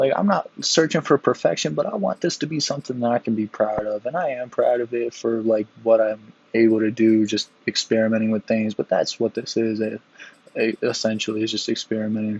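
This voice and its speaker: A man's medium-pitched, plain, everyday voice at a fairly quick pace. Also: ordinary pitch variation. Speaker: gaming youtuber. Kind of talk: gameplay commentary. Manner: casual, many fillers.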